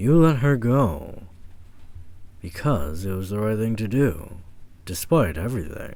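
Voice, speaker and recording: Using a put-on character voice, a man speaks in a calm tone at a fairly slow pace and a fairly low pitch. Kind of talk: ASMR audio roleplay. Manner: calm, measured monologue.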